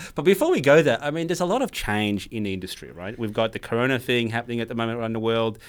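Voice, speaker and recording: Lively intonation marks this man's speech at a very fast pace. His pitch sits in the medium range. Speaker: podcast host, cloud solution architect. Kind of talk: casual tech chat. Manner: animated.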